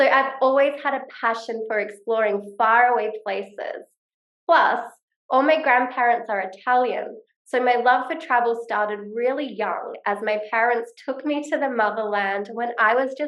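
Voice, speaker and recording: Someone with an Australian accent talks at a moderate pace with ordinary pitch variation. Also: woman. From Australia, Perth. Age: 30s. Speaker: online business coach. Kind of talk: vlog-style talk to camera.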